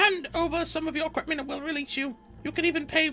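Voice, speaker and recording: A loud, squeaky put-on character voice at a high pitch races along at a very fast pace over clear background noise. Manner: loud, demanding.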